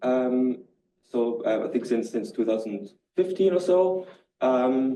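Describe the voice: A man with a dark, mellow tone and medium pitch talks at a slow pace with lively intonation, and audible room echo surrounds him.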